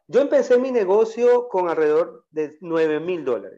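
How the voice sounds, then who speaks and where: In a coastal Ecuadorian accent, a man speaks with a dark, mellow tone. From Ecuador, Guayaquil. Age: 40s. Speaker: entrepreneur, auto parts business owner. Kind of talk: interview.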